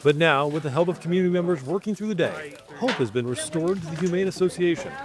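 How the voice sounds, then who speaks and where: Over noticeable background noise, a man talks at a very fast pace in a high voice with ordinary pitch variation. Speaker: TV news reporter. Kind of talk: TV news package narration.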